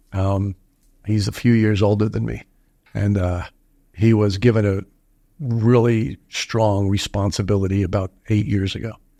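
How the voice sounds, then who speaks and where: A man with a dark, mellow tone talks at a moderate pace with fairly even intonation and long, frequent pauses. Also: fairly low pitch for a man. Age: 70s. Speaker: entrepreneur. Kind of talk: casual chat. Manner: halting.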